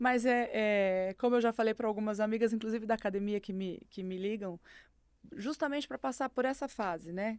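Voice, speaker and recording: Heard on a very clean recording with a silent background, a woman with a fairly high pitch, ordinary pitch variation and an ordinary speaking voice talks at a moderate pace. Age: 50s. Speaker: podcast guest sharing faith testimony. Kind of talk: testimony.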